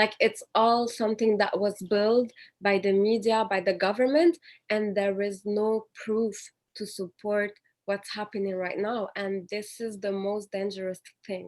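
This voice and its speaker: In a Quebec accent, a woman speaks at a fairly slow pace with fairly even intonation. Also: medium pitch for a woman. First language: French. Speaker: panelist. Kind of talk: panel discussion.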